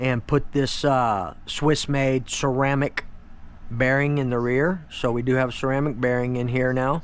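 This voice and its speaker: Delivered at a moderate pace with fairly even intonation, this is an unremarkable speaking voice. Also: man. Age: 50s. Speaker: RC hobbyist YouTuber. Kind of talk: casual product walkthrough. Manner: casual, filler-heavy.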